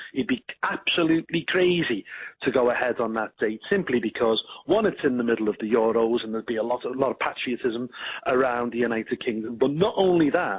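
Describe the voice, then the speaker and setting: Here is a man with a Liverpool accent and a medium pitch. His pace is fairly quick. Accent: Scouse. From northern England, Liverpool. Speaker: party politician. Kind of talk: radio interview.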